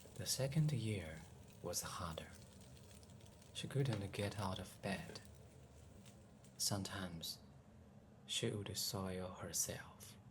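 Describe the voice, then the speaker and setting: Over noticeable background noise, the speaker talks very slowly in a gentle, calm tone, with long, frequent pauses. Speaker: home cook and ASMR storyteller. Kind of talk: ASMR cooking and bedtime storytelling, soft-spoken. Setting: kitchen, close microphone, cooking sounds. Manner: soft-spoken, gentle, calm, slow.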